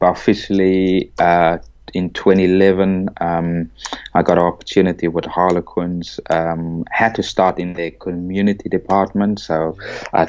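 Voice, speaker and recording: Speaking at a moderate pace, a man with a South African accent uses a very deep, low pitch and monotone, flat intonation. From South Africa (Cape Town). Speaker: rugby coach. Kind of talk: podcast interview.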